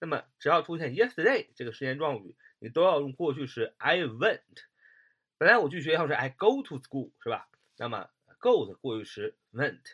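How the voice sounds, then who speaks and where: Very wide pitch swings run through a man's fairly high voice on a very clean recording with a silent background. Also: moderate pace, big swings in loudness. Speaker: English grammar teacher. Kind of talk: lecture. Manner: halting, many filler sounds.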